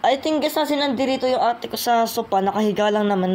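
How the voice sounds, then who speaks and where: A woman's lively intonation carries her speech along at a fairly quick pace. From Philippines. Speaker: YouTuber rapper. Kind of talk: casual vlog talk. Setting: home kitchen.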